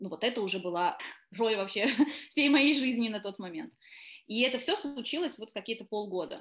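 Pausing long and often, a woman speaks at a moderate pace in a fairly high pitch with lively intonation. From southern Russia, Taganrog. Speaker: actress. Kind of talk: interview.

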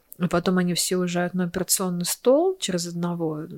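On a very clean recording with a silent background, a woman speaks at medium pitch and a moderate pace, the sound dry and close with no echo. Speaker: cosmetology clinic owner. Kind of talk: casual chat.

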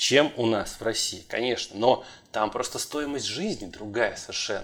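The recording is very clean with a silent background. A man speaks at a moderate pace in an ordinary speaking voice. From Russia, St. Petersburg. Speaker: podcast host, structural engineer. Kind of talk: casual chat.

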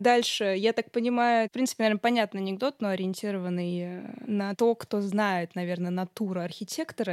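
A woman speaks at a moderate pace with lively intonation in a normal speaking voice. The recording is very clean with a silent background, and the sound is dry and close with no echo. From Samara region, Russia (Tolyatti). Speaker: podcast host. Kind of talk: casual chat.

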